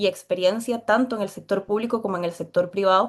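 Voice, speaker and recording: In a quiet background, a woman speaks at a medium pitch with fairly even intonation. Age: 20s. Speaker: political candidate. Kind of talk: interview.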